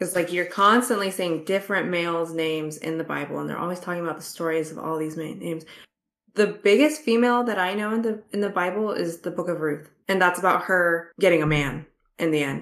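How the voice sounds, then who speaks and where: In a normal speaking voice, a woman talks at a fairly quick pace with ordinary pitch variation. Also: fairly low pitch for a woman. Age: 20s. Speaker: book podcast co-host. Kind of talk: casual chat.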